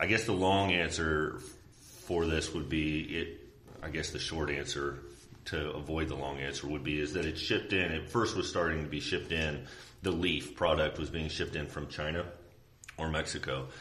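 In a Midwestern American accent, a man with a very deep, low pitch speaks at a moderate pace with fairly even intonation, and audible room echo surrounds him. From Indiana, rural Tippecanoe County. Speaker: police sergeant. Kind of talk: interview.

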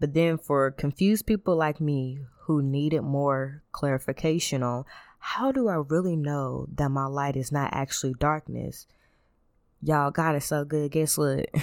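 A woman speaks at a moderate pace in a very deep, low pitch with fairly even intonation, on a very clean recording with a silent background. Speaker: Bible study teacher. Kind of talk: Bible study talk.

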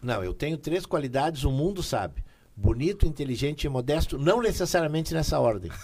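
Somewhat breathy and fairly quick, the voice carries a lively intonation. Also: man, fairly high pitch for a man. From Taquara, Rio Grande do Sul, Brazil. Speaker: singer. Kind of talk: casual interview.

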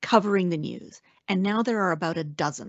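In a western Canadian accent, a woman speaks at a fairly quick pace, medium in pitch and lively in intonation. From Canada, Alberta. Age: 50s. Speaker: senator and former journalist. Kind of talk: interview.

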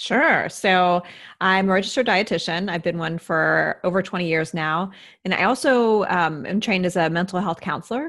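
A woman with an American accent speaks at a moderate pace in an unremarkable speaking voice, medium in pitch with ordinary pitch variation. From US Midwest. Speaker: registered dietitian. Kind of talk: interview.

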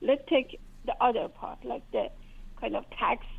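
A woman speaks with a Persian accent. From Iran. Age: 40s. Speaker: caller. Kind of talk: call-in conversation. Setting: phone call. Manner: halting.

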